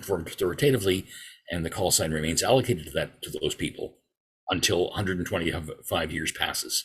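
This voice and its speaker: This man talks at a very fast pace with a Canadian accent. His pitch is very deep and low. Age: 60s. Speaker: amateur radio regulatory affairs officer. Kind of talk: presentation to a club.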